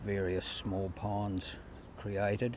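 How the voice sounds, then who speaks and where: A man with a New Zealand accent speaks at a fairly low pitch, somewhat breathy. Audible room echo surrounds his voice. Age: 70s. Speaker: retired farmer. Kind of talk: interview.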